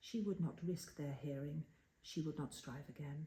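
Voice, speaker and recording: A woman speaks softly with a dark, mellow tone and a fairly low pitch. Her calm delivery is somewhat breathy, with ordinary pitch variation. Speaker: storyteller. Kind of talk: poetry reading. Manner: soft-spoken, calm.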